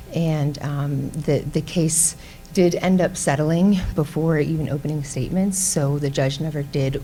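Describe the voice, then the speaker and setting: Against noticeable background noise, a soft-spoken woman talks with a very deep, low pitch. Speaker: defense lawyer. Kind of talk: panel presentation. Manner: hesitant, many fillers.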